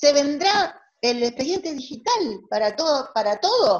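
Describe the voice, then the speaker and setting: A woman is speaking. Her pitch swings very widely up and down. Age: 60s. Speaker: family court judge. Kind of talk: online lecture. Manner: halting.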